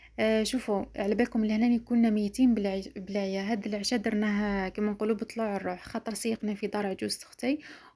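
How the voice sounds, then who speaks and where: A woman's fairly high voice with an Algerian accent, dark and mellow in tone, at a moderate pace with fairly even intonation. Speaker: lifestyle vlogger. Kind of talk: casual vlog talk to viewers.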